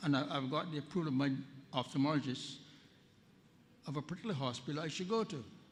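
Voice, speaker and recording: Audible room echo accompanies a man whose fairly high voice shows ordinary pitch variation. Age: 80s+. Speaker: policyholder asking a question at a public meeting. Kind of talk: question from the floor at a town hall. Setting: town hall meeting with audience, at a microphone. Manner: halting, with many repetitions.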